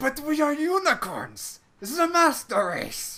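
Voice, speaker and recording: A put-on character voice comes through at a high pitch. The pace is moderate. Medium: read story. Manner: goofy, excitable.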